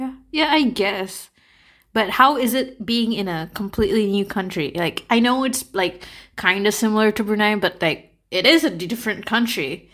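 Lively intonation and an animated tone carry speech delivered at a moderate pace. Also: woman, fairly high pitch for a woman. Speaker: podcast host. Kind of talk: casual chat. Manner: animated, laughs often.

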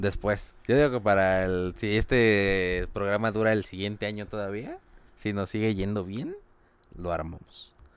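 In an unremarkable speaking voice, a man talks fairly slowly at a fairly low pitch with fairly even intonation. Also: very clean recording, silent background. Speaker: podcast co-host. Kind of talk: casual comedic chat.

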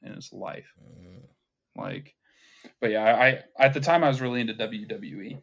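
Moderate pace and medium pitch in a man's voice, a normal speaking voice. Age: 20s. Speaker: atheist content creator. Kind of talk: casual chat.

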